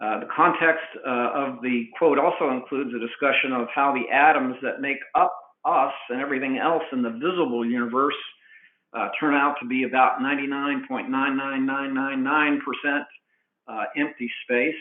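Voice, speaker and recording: Fairly high male voice, fairly even in intonation, at a moderate tempo. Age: 60s. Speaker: cost estimating professional. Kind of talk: webinar presentation. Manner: halting, many fillers.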